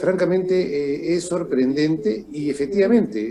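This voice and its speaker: A man with a high voice talks at a moderate pace with lively intonation over noticeable background noise. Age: 60s. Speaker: political analyst. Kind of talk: interview.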